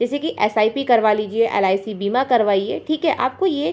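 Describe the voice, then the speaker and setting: A woman speaks loudly at a fairly high pitch. Her voice moves through very wide pitch swings. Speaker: housewife vlogger giving money-saving advice. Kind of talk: casual advice vlog talk to camera. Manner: loud, raised voice.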